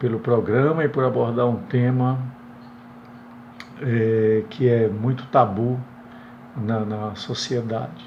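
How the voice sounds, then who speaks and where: Talking at a very slow pace, a man uses a medium pitch and fairly even intonation, with audible room echo around him. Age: 60s. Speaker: retired teacher, viewer asking a question. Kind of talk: recorded viewer question. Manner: halting, many hesitations.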